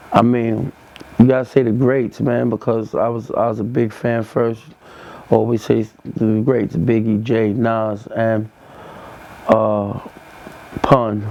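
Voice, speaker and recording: A man's fairly slow, monotone speech in a New York accent, medium in pitch, with flat intonation and noticeable background noise. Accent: New York (Bronx). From New York, the Bronx. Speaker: rapper. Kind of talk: interview monologue. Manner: casual, halting with fillers.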